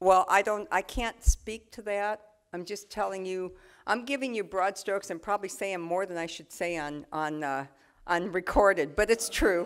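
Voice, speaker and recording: In a plain, everyday voice, a woman talks at a moderate pace and medium pitch with ordinary pitch variation and big swings in loudness, recorded very cleanly against a silent background. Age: 60s. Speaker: politician. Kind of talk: talk with audience Q&A.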